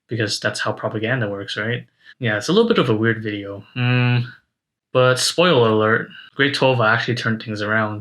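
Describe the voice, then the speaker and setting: A man's ordinary speaking voice at medium pitch, fairly quick in pace with fairly even intonation, in a very clean recording with a silent background. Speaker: university student vlogger. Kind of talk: reflective monologue to camera. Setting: speaking to a camera.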